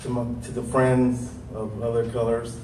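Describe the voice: A man's medium-pitched, slightly mellow voice with little pitch movement and audible room echo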